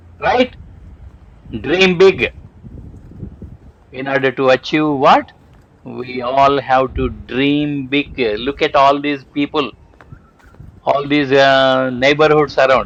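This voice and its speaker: With a Telugu accent, the speaker talks at a very slow pace and with fairly even intonation. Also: man. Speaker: homeopathic doctor and inspirational vlogger. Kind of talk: motivational vlog. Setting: outdoors on a walk. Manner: halting.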